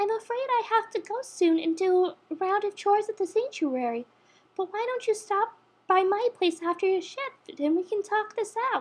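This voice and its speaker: A woman puts on a squeaky character voice at an extremely high pitch with a gentle tone. Her intonation is lively and her pace moderate. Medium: read story. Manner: soft, gentle.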